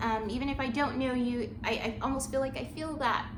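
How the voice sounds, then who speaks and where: A woman's high-pitched voice, with audible room echo and noticeable background noise. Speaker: channel owner and small business creator. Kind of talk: casual vlog update. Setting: at home with dog. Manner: rambling, filler-heavy.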